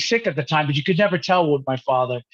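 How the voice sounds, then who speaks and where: Speaking at a very fast pace with a New York accent, a man uses a fairly high pitch with ordinary variation and a somewhat breathy quality. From New York (Manhattan, Rockland County). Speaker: musician. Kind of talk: interview.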